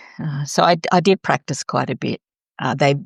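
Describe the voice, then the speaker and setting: A woman speaks at a moderate pace with a very deep, low pitch and ordinary pitch variation. Her voice is somewhat breathy, with a dry, close sound and no echo. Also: very clean recording, silent background. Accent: Australian. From Australia. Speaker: author and chaplain. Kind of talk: interview.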